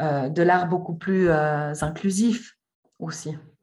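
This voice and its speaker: There is a somewhat breathy quality to this voice. Its delivery is very slow. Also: woman. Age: 30s. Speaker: art historian and association founder. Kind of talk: interview. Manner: hesitant, many fillers.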